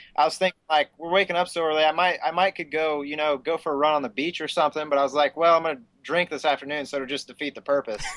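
At a very fast pace, a man with a fairly high pitch talks with fairly even intonation. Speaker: racer. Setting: video call.

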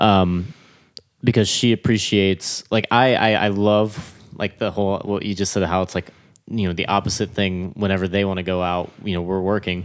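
A plain, everyday voice from a man with an American accent, fairly low in pitch, at a moderate pace with fairly even intonation. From Florida. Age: 20s. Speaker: drummer. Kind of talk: casual chat.

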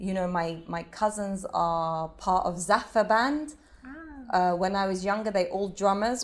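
A British accent on a very clean recording with a silent background. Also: woman. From England. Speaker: belly dancer. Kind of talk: interview. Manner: animated.

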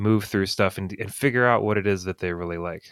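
A man with an ordinary speaking voice talks at a moderate pace and a fairly low pitch. The recording is very clean with a silent background and a dry, close sound with no echo. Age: 30s. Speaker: book reviewer on social media. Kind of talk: casual chat.

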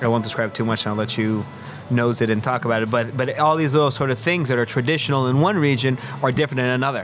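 A man at medium pitch, very fast pace, ordinary pitch variation, and very even loudness, with noticeable background noise. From Mexico City. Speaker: chef and restaurant owner. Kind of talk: casual chat.

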